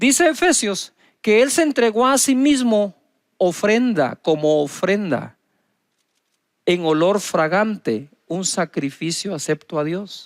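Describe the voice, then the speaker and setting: On a very clean recording with a silent background, a man speaks at a very slow pace, his high pitch making very wide swings. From Guatemala. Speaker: pastor, televangelist. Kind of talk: sermon.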